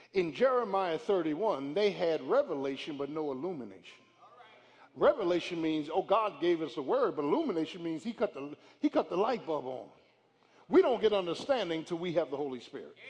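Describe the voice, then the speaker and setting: The speech moves at a fairly quick pace, with an animated tone and lively intonation. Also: man, high pitch for a man. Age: 50s. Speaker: pastor. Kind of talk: sermon. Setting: church.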